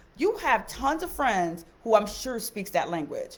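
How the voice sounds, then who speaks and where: Speaking at a moderate pace, a woman talks in a Haitian-American accent. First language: Haitian Creole. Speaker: teacher. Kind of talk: live stream talk. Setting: live stream on social media. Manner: casual, hesitant with fillers.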